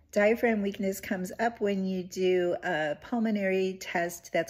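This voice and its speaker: A woman talks at a moderate pace in a somewhat breathy voice, her intonation fairly even. The background is quiet. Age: 60s. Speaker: patient sharing health update. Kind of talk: casual talk to camera. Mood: calm, hopeful. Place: home room. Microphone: phone near.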